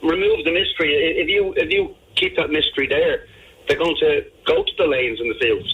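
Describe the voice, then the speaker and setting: A man with an Irish accent at a fairly quick pace, his loudness very even. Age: 60s. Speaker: radio panelist. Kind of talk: radio discussion. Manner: stammering, repeats words.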